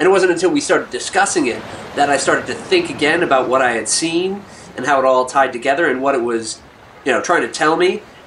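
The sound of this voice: A man at a medium pitch, fairly quick and fairly bright, with lively intonation and faint background noise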